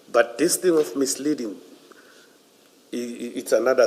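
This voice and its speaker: A man speaks at a moderate pace while noticeable background noise carries on behind him. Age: 50s. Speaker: police general testifying as witness. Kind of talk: inquiry testimony. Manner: halting.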